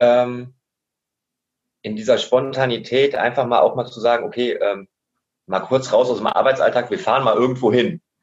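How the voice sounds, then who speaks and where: Long, frequent pauses break up this man's speech at a moderate pace. His pitch is medium, with ordinary variation. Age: 30s. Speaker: adult educator. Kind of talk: casual interview.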